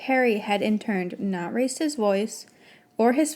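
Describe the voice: Someone gives a plain reading aloud, and the pitch moves an ordinary amount.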